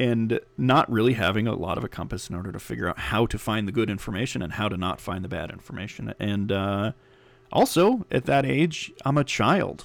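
This man talks at a fairly quick pace with lively intonation. His pitch is fairly low, and there is vocal fry. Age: 30s. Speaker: podcast host. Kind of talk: casual monologue. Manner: halting, many fillers.

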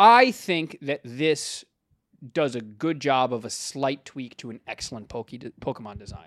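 A man with a fairly high pitch talks at a fairly slow pace in an animated tone with lively intonation and big swings in loudness, recorded dry and close with no echo and a very clean, silent background. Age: 20s. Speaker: podcast co-host. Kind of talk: casual chat.

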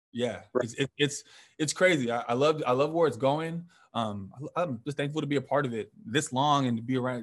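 A man talks at a moderate pace with an American accent, in a plain, everyday voice. His pitch is fairly high and varies in an ordinary way. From Northern California. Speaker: bodybuilder and fitness coach. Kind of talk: casual interview chat.

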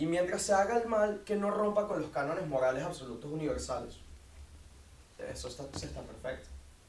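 Male speech with audible room echo and noticeable background noise. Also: fairly quick pace. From Venezuela, Caracas. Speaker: university student, debater. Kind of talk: debate.

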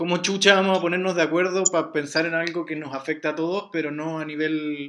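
A man with a Chilean accent talks at a fairly high pitch and fairly quick pace, in a monotone, flat intonation with hardly any pauses. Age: 20s. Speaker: podcast host interviewing his mother. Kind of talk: casual family interview.

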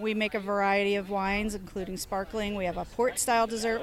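A woman with an unremarkable speaking voice, a fairly high pitch and a fairly quick pace. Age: young. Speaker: winery owner and winemaker. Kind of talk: interview. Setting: outdoor wine festival.

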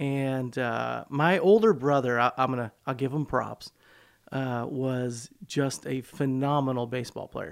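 In an American accent, a man speaks at a fairly slow pace in a normal speaking voice, with medium pitch and ordinary pitch variation. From US Midwest, south Chicago suburbs. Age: 40s. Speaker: pastor. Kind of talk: casual interview chat. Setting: studio.

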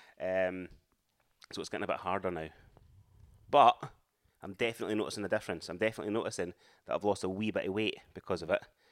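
A man with a fairly low voice talks very fast but with long, frequent pauses, his intonation fairly even, on a very clean recording with a silent background. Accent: Edinburgh. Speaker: podcast co-host, amateur runner. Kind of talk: casual chat.

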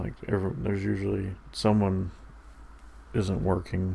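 Speaking at a fairly slow pace, a man with a very deep, low pitch uses fairly even intonation, his dark, mellow tone somewhat breathy. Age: 30s. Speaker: podcast host. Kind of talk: casual solo monologue. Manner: halting.

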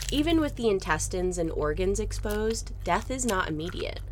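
Noticeable background noise behind a fairly quick-paced woman's voice. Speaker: true crime podcast host. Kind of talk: history documentary narration, scripted and read in a steady, serious storytelling voice. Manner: measured, even and grave, explaining gruesome history in a clear, informative tone; solemn and matter-of-fact, with little emotional colouring.

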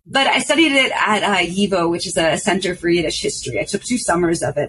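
A woman speaks with a New York accent, somewhat breathy. Her pace is fairly quick, and her pitch swings very widely. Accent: New York American English. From New York City. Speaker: artist and journalist. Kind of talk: casual chat.

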